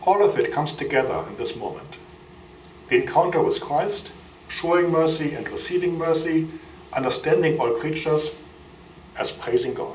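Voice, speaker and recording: Room echo is audible around the man speaking, and background noise is noticeable too. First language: German. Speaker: friar and biochemist. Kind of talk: lecture. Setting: university lecture hall with audience.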